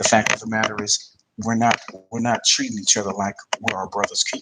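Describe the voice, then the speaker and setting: A man with a New Jersey accent, at a fairly quick pace. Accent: East Coast, New Jersey. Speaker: podcast host. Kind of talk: commentary monologue.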